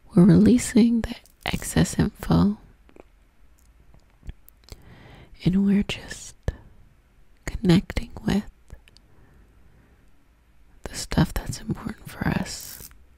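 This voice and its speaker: A woman whispers at a very slow pace in a gentle tone, her loudness swinging widely between long, frequent pauses. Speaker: ASMR spiritual creator. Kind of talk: soft guided prayer and ASMR talk. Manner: soft-spoken, gentle, close to the mic. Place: home room. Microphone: studio mic.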